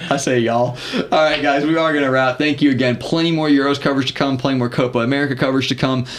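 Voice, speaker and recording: Over noticeable background noise, a man with a Southern US accent speaks at a very fast pace in a fairly high pitch, monotone and flat, with very even loudness. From US South. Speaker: podcast co-host. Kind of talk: casual chat.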